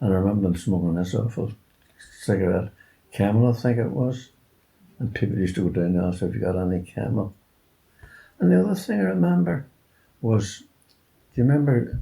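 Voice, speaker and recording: A man with a somewhat breathy, dark, mellow voice speaks at a fairly quick pace and fairly low pitch, with ordinary pitch variation and long, frequent pauses. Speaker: war-time childhood witness, oral history interviewee. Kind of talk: oral history interview answer.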